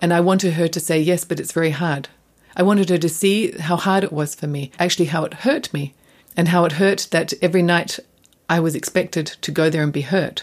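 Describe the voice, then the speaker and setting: A woman's fairly low voice with an Australian accent, fairly even intonation and a fairly quick pace. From Australia, Adelaide. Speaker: dancer. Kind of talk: interview.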